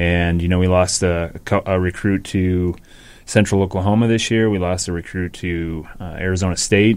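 Very deep, low-pitched man with an American accent, monotone and flat, at a moderate pace. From Minnesota, Rochester. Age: 40s. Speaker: university hockey program manager. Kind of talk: interview.

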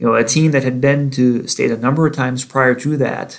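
A man talks at a moderate pace with an American accent, his pitch medium and his intonation fairly even. He has a plain, everyday voice. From northern Wisconsin, US Midwest. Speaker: sports editor and podcast host. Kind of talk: casual interview chat; podcast intro and outro.

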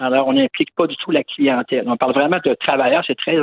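A man's voice with lively intonation. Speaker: public health physician. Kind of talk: interview.

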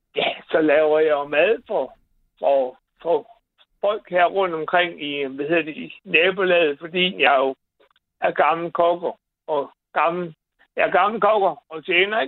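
A man talks at a very slow pace. His pitch is high, with ordinary variation. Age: 60s. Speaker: caller, cleaning business owner. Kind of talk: phone-in conversation. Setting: phone call.

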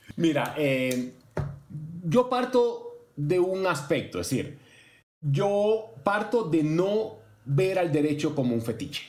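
Very wide pitch swings run through a man's voice. Noticeable background noise is present. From Cuba. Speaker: law professor. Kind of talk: interview.

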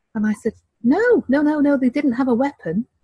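A woman's somewhat breathy voice with a dark, mellow tone at a moderate pace, dry and close with no echo. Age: 50s. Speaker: relationship counselor. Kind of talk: interview.

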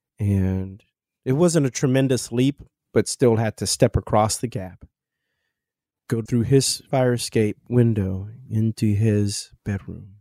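In a Midwestern accent, a man talks at a very slow pace with a medium pitch, ordinary pitch variation and a dark, mellow tone, on a very clean recording with a silent background and a dry, close sound with no echo. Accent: American Midwest. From Kansas City, Missouri. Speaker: jazz pianist and composer. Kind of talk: casual interview conversation.

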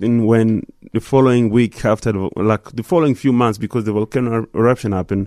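A man talks at a very fast pace with hardly any pauses, at a medium pitch with fairly even intonation. His tone is dark and mellow, and the sound is dry and close, with no echo, on a very clean recording with a silent background. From DR Congo (Goma). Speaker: musician. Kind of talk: interview. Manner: halting, many fillers.

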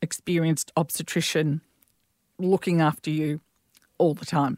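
In an Australian accent, a woman talks with fairly low pitch and ordinary pitch variation. The recording is very clean, with a silent background and a dry, close sound lacking echo. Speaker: midwife. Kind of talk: casual chat.

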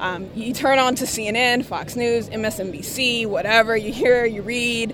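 Noticeable background noise behind a woman with an American accent, a fairly high pitch and ordinary pitch variation. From US South. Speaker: protester interviewee. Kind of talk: street interview. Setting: outdoors at protest.

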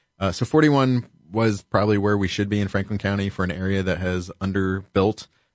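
In an American accent, a man with a plain, everyday voice speaks at a fairly quick pace and a fairly low pitch, with ordinary pitch variation over a quiet background. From Columbus, Ohio. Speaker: county auditor, public official. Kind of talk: interview, explaining policy.

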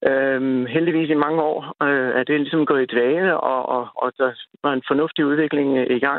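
A man's fairly high voice in a monotone, flat intonation, at a fairly slow pace with very even loudness. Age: 50s. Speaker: caller, father, ex-soldier. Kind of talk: phone-in interview. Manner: halting, repetitive stammering.

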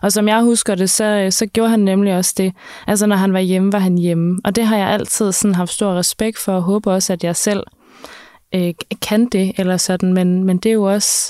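A woman talks at a moderate pace in a medium pitch with a dark, mellow tone. Her intonation is monotone and flat, her loudness very even, and the sound dry and close with no echo. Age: 30s. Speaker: podcast host. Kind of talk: interview.

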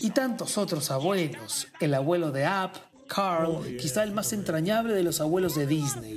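Over noticeable background noise and audible room echo, a man with a high pitch speaks with lively intonation. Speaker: podcast host and writer. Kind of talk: scripted narration.

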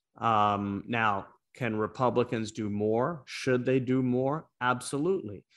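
An unremarkable speaking voice from a man with an American accent, medium pitch and ordinary pitch variation, at a fairly slow pace over a quiet background. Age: 40s. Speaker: former congressman. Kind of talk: casual chat.

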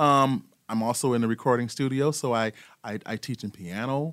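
This is a man with a plain, everyday voice at a medium pitch, with ordinary pitch variation and a moderate pace. The recording is very clean, with a silent background. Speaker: program director of a nonprofit. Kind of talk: casual interview. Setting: studio.

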